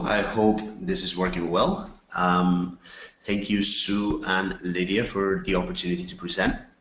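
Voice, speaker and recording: A man talks at a fairly slow pace. Background music can be heard. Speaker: NGO representative. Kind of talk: webinar presentation. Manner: hesitant, many fillers.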